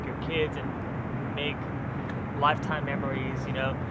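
A man's voice against loud background noise. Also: dry sound with no echo. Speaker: outdoor vlogger. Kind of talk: casual vlog chat.

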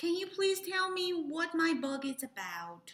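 A woman's put-on character voice at an extremely high pitch, fairly slow, with audible echo. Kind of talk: children's story read-aloud. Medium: read story. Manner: nervous. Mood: nervous, polite.

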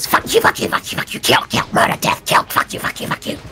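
A put-on character voice moves at a fairly slow pace. Clear background noise runs underneath. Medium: game stream. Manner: furious, repetitive cursing; menacing.

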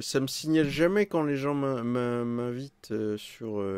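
The voice has lively intonation, with a quiet background and a dry sound with no echo. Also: man. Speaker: gaming streamer. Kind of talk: live gameplay commentary. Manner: animated.

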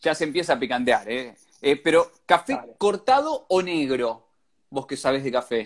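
With ordinary pitch variation, a man speaks at a moderate pace in a fairly high pitch. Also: quiet background. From Argentina. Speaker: radio host running an Instagram live. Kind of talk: casual live-stream interview. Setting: Instagram live video call. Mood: friendly, playful. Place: home room. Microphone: earbuds.

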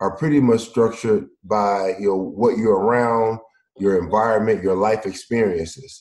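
Here a man with a Mississippi accent talks at a moderate pace. His voice is fairly low, with fairly even intonation. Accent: Southern US (Mississippi). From US South, Mississippi. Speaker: former pro football player, founder of education company. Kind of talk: casual interview chat.

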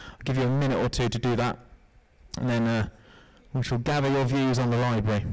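Over a quiet background, a man speaks at a very fast pace. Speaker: business analyst, university IT; business analyst. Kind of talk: interactive workshop presentation. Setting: stage with audience. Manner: upbeat, jokey. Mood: jokey, upbeat. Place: hall. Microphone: handheld.

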